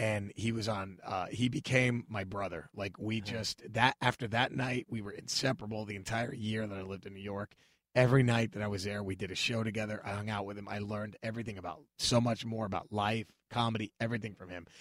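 With an American accent, a man speaks at a very fast pace and a fairly low pitch. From Dallas, Texas. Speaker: stand-up comedian. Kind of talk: casual chat. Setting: studio. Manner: animated.

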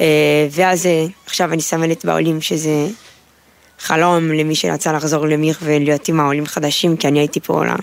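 This woman's pitch is very deep and low. She talks at a moderate pace with monotone, flat intonation. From Brazil. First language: Portuguese (speaking Hebrew). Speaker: army sergeant, new immigrant. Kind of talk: interview. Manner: halting.

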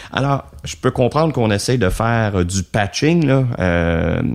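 The very clean recording, with a silent background, captures a man speaking with ordinary pitch variation. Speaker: business consultant. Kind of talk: interview. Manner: halting, many fillers.

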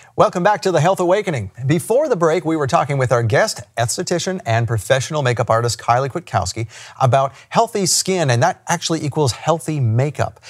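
Somewhat breathy and upbeat in tone, a man speaks at a fairly high pitch with very wide pitch swings and hardly any pauses. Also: fairly quick pace. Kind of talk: interview with scripted intro; infomercial ad read. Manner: salesy, upbeat, hard-sell pitch, brisk; friendly, affable.

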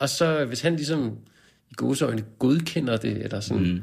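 A man talks with lively intonation. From Denmark, Copenhagen suburbs. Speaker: poet and translator. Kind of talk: casual interview.

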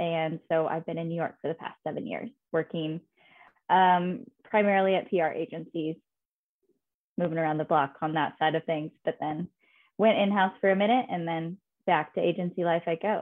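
This is an unremarkable speaking voice with an American accent. Its pitch varies in an ordinary way. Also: woman, fairly low pitch for a woman, moderate pace. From Indiana, US Midwest. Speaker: PR professional in tech. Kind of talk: casual interview.

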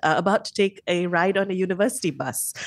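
Against a quiet background, a woman keeps up a fairly quick pace. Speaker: radio host. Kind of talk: casual chat. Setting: studio.

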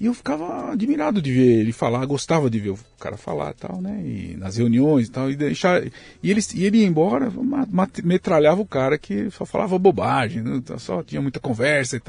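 This man sounds somewhat breathy, and his pitch rises and falls across a very wide range. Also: medium pitch for a man, fairly quick pace. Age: 60s. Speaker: pasta factory owner. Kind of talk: casual interview chat.

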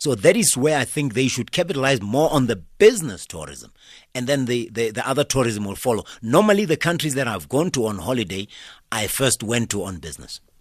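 A man's fairly quick speech with vocal fry and very wide pitch swings, on a very clean recording with a silent background. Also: medium pitch for a man. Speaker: author and business commentator. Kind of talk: radio interview.

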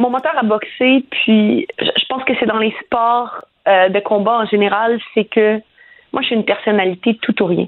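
An ordinary speaking voice with ordinary pitch variation, at a fairly slow pace. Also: woman, fairly high pitch for a woman. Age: 30s. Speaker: professional boxer. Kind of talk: radio interview.

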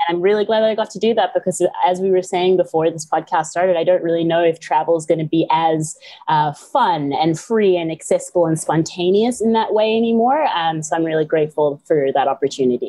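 A woman with an American accent and a normal speaking voice talks at a fairly quick pace with hardly any pauses, her fairly low voice showing ordinary pitch variation. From South Africa, Johannesburg, raised partly in US. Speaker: yoga, meditation and mindset teacher. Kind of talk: podcast interview. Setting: remote call.

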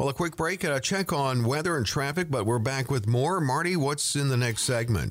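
A man's fairly high-pitched, ordinary speaking voice with ordinary pitch variation, a fairly quick pace, hardly any pauses, and very even loudness, on a very clean recording with a silent background. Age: 60s. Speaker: radio co-host. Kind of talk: radio talk show chat; reading out listener questions.

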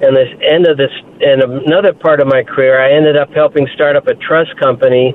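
A man with a plain, everyday voice speaks at a fairly quick pace, his pitch fairly high and his loudness very even. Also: fairly even intonation. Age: 60s. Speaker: caller, retired investment professional. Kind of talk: phone-in story. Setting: phone call.

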